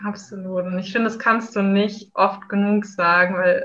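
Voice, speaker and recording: The woman's voice sits at a medium pitch. Her delivery is monotone and flat. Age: 20s. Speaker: café worker, retreat participant. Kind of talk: personal testimony.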